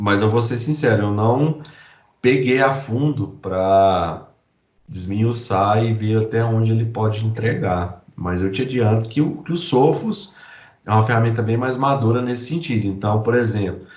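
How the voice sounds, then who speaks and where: Somewhat breathy speech from a man at medium pitch, with ordinary pitch variation, a fairly slow pace and audible room echo. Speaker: IT security specialist presenting a demo. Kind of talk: technical presentation.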